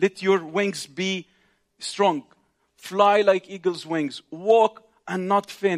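A man speaks in an Arabic accent, recorded with a dry, close sound and no echo. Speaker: visiting preacher, ministry leader. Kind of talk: sermon. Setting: congregation in synagogue, live. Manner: halting, with frequent fillers.

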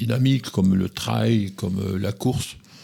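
A man with a fairly low pitch speaks at a very slow pace, his pitch varying in an ordinary way. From southern Gironde, France. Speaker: hiking club vice-president. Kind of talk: radio interview.

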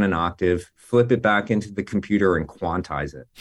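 An unremarkable speaking voice from a man with an American accent, fairly low-pitched, with ordinary pitch variation. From New Jersey. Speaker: music producer and engineer. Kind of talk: interview. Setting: video call. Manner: casual, full of filler words.

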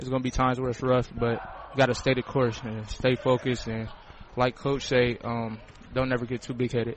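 A man with an American accent at a medium pitch, in a monotone, flat intonation at a fairly quick pace, against noticeable background noise. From Sandusky, Ohio. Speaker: college basketball player. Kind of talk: casual halftime interview. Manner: polite, short answers, laughs.

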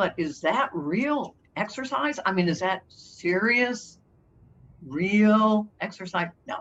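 A woman at a medium pitch, very slow in pace, with lively intonation. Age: 80s. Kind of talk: interview.

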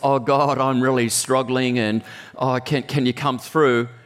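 A put-on character voice, nasal and whiny, drones in a monotone at a fairly slow pace. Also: man, medium pitch for a man. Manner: lame, halting prayer.

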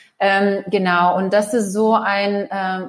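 The woman's voice sits at a medium pitch. Her intonation is flat and monotone. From former Soviet Union. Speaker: managing director of a children's digital education nonprofit. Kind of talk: interview. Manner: halting, many filler sounds.

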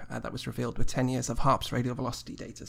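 A man speaking very fast with vocal fry and fairly even intonation, on a very clean recording with a silent background. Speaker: astrobiologist host. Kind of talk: news segment and chat.

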